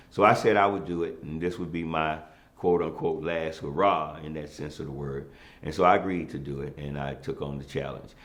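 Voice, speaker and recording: A man's very deep, low voice at a fairly quick pace, with ordinary pitch variation, big swings in loudness and audible room echo. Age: 60s. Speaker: former city councilman. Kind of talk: interview. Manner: hesitant with many fillers.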